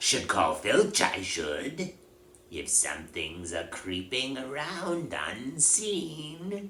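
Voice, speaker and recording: Over clear background noise, a man puts on a character voice, fairly high in pitch and delivered at a very slow pace. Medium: read story. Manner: greasy, fawning.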